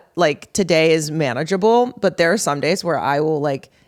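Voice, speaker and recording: Her pitch very deep and low, a woman speaks at a fairly quick pace. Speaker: podcast co-host. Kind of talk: casual chat. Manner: halting, unfinished sentences.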